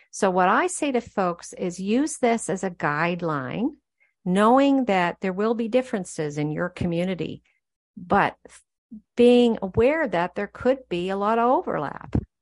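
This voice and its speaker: Against a quiet background, a woman uses a normal speaking voice at a medium pitch, speaking at a fairly slow pace with lively intonation. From Canada, New Brunswick. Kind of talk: interview conversation. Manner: casual with many fillers and self-corrections.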